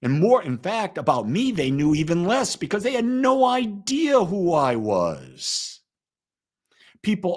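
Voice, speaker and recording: A man speaks with very wide pitch swings. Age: 70s. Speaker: pastor. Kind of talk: live-streamed spiritual talk. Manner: conversational.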